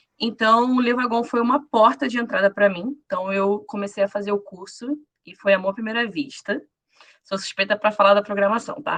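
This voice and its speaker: A normal speaking voice at a moderate pace, with ordinary pitch variation and big swings in loudness. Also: woman, fairly high pitch for a woman. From Rio de Janeiro, Brazil. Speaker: former bootcamp student, programmer. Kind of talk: self-introduction on a live panel.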